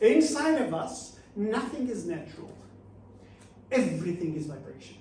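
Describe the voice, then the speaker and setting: Audible room echo and noticeable background noise surround the recording. Through them, a man keeps a moderate pace. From Portugal. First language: Portuguese. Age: 60s. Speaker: motivational speaker and author. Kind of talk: talk to a small audience. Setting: studio with live audience.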